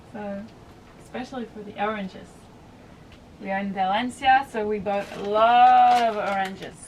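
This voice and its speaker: A woman's fairly high voice at a moderate pace, fairly even in intonation but with big swings in loudness, long, frequent pauses and noticeable background noise. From Belgium. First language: French. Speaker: sailing vlogger. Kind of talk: casual vlog chat.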